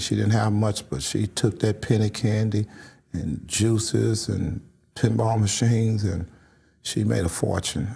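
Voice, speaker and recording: Recorded very cleanly with a silent background, a man with a fairly low pitch and a dark, mellow, somewhat breathy tone speaks at a moderate pace. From St. Louis, Missouri. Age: 60s. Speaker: community activist. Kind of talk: interview.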